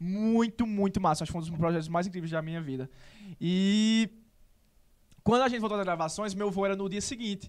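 A man with a Paraíba accent and a high pitch, talking very fast yet with long, frequent pauses, on a very clean recording with a silent background. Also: ordinary pitch variation. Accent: Paraíba northeastern Brazilian. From Serra Branca, Paraíba, Brazil. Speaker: actor and social media content creator. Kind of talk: casual interview chat.

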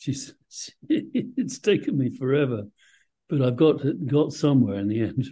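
A man with a fairly high pitch speaks at a fairly slow pace, his intonation lively. His tone is dark and mellow and somewhat breathy. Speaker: podcast host. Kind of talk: interview.

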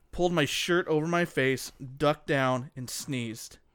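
A man with a plain, everyday voice, fairly high in pitch, his intonation fairly even, on a very clean recording with a silent background. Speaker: co-host. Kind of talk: casual banter. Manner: joking, playful.

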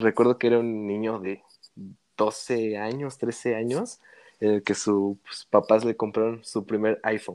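On a very clean recording with a silent background and a dry, close sound with no echo, a man speaks at a fairly slow pace in a monotone, flat intonation. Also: medium pitch for a man. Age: 20s. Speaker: DJ and music producer. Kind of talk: casual chat.

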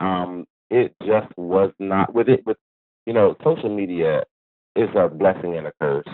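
At a fairly slow pace, a man talks in an ordinary speaking voice, fairly low in pitch, with ordinary pitch variation. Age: 40s. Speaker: hair stylist. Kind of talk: interview.

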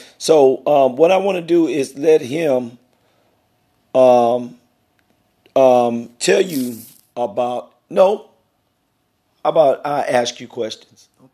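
Speaking at a very slow pace with long, frequent pauses, a man with an American accent has a dark, mellow tone and ordinary pitch variation. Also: fairly high pitch for a man. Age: 50s. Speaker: podcast host. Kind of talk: interview.

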